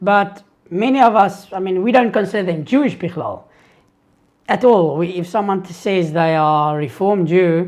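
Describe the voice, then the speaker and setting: The speaker has a South African accent. The pace is moderate. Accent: Afrikaans South African English. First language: Afrikaans. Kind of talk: live Q&A stream. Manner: hesitant, with fillers and restarts.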